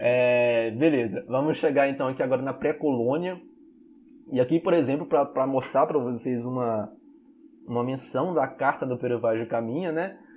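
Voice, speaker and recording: The speaker talks at a moderate pace in an unremarkable speaking voice. Pitch variation is ordinary. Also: man, medium pitch for a man. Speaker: history teacher. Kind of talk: online class lecture.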